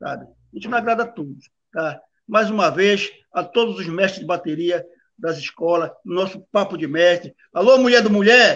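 A man's high-pitched voice at a moderate pace, ordinary pitch variation, and big swings in loudness. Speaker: samba school drum master. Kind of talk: casual interview. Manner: halting.

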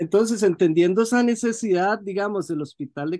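A man at a fairly quick pace, with very wide pitch swings over a quiet background. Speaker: interviewer. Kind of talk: interview. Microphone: video call.

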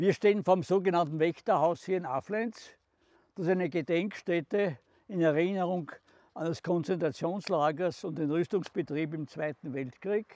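With a Styrian accent, a man speaks in a high voice at a moderate pace with ordinary pitch variation, and the sound is dry with no echo. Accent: Styrian Austrian German. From southern Styria, Austria. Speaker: contemporary witness, former mayor. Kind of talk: documentary guided narration. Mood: calm, serious recollection. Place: open country.

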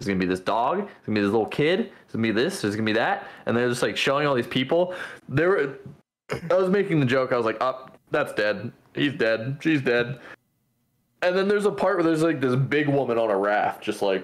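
Very wide pitch swings mark a man's medium-pitched voice as he speaks at a fairly quick pace. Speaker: podcast co-host. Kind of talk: casual chat. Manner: animated. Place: home room. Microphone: webcam.

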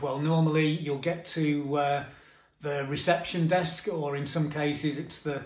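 Amid audible room echo, a man speaks at a moderate pace with fairly even intonation. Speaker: travel tips vlogger. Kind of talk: tutorial. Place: home room. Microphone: phone near.

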